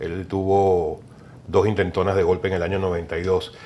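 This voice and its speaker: This is a man speaking. He has a Venezuelan accent. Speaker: political consultant. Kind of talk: TV interview.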